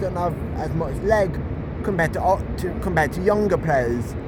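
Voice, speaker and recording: Moderate pace amid noticeable background noise. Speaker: football fan vlogger. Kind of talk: casual vlog commentary. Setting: outdoors, walking. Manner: stuttering, halting.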